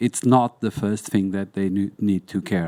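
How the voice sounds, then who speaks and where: A dark, mellow tone with fairly even intonation sounds dry and close, with no echo, in a very clean recording with a silent background. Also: man. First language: Portuguese. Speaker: museum documentation specialist. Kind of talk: panel discussion. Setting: conference hall with audience. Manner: halting.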